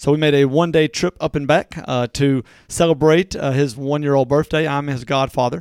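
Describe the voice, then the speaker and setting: With a Southern US accent, a man talks fairly quickly at a fairly high pitch with hardly any pauses. The recording is very clean and dry, close with no echo, over a silent background. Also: fairly even intonation. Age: 40s. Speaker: local podcast co-host. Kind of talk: casual chat.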